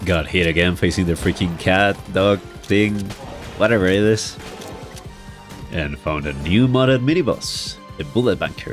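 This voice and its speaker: Music plays in the background as a man with a very deep, low pitch speaks at a moderate pace. His intonation is lively, and he takes long, frequent pauses. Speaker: gaming YouTuber. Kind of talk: gameplay commentary voice-over.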